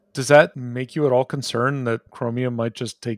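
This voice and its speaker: Heard in a dry, close sound with no echo, a man with a plain, everyday voice talks at medium pitch and a moderate pace. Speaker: developer advocate. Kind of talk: casual interview.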